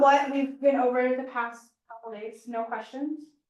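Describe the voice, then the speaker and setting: A woman talks at a moderate pace. Room echo is audible around her voice. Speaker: flight ground school instructor. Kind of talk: classroom lecture.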